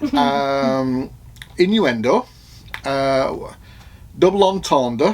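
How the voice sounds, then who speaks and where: Here a man with a Manchester accent talks at a very slow pace. His pitch is fairly high and his intonation lively. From northern England, Oldham, Manchester. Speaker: vlogger. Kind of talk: casual chat. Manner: halting.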